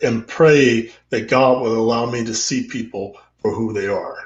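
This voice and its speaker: Speaking with an American accent, a man lets his pitch rise and fall in an ordinary way. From Central Texas. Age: 60s. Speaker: interview guest, father. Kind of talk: casual interview. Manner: halting, many fillers and repetitions.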